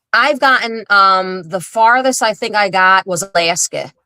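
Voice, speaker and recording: A strong Philadelphia accent at a very slow pace, bright, sharp tone, dry, close sound with no echo. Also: woman. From Philadelphia, South Philly. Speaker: social media influencer. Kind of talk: casual interview chat.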